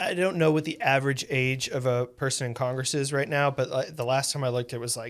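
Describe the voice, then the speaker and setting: A man with a fairly high voice talks very fast, with hardly any pauses and fairly even intonation. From South Dakota. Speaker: news podcast host. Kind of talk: interview.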